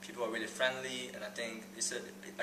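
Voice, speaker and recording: Noticeable background noise and audible room echo fill the recording. A man speaks very fast at medium pitch. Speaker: breakdancer and dance teacher. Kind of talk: interview. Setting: sitting down for an interview. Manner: halting.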